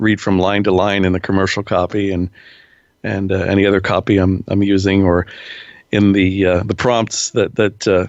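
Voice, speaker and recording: A man with an American accent speaks at a fairly low pitch. His intonation is monotone and flat, and his loudness stays very even. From Pennsylvania. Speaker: radio personality and voice-over artist. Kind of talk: interview answer.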